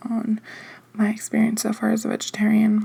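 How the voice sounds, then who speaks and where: Soft-spoken, a woman with a fairly high pitch talks at a fairly slow pace. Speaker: ASMR creator. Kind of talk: casual chat. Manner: hesitant, filler-heavy.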